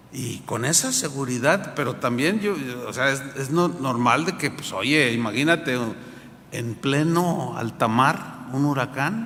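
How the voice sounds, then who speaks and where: A man with a Mexican accent speaks very slowly in a fairly high voice with lively intonation. Room echo and noticeable background noise are both audible. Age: 60s. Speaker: pastor. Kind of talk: sermon. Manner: animated.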